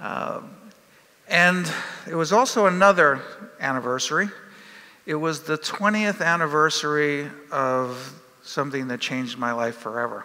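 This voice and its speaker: With an American accent, a man speaks at a moderate pace in a fairly high voice with lively intonation. Long, frequent pauses break up his speech, and room echo is audible. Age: 60s. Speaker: professor. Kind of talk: conference talk. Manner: halting, many fillers.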